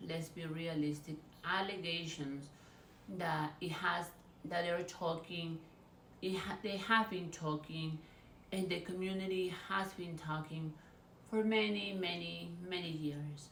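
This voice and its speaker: A woman with a Spanish accent speaks fairly slowly in a fairly low pitch, her intonation fairly even. Long, frequent pauses break up her speech, and the room echo is audible. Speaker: YouTuber, celebrity gossip commentator. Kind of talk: casual vlog commentary.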